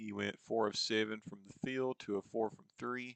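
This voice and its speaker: A man talks with a slight Eastern Kentucky accent. The sound is dry and close, with no echo. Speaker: sports video game commentator. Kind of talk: gameplay commentary. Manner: casual, conversational.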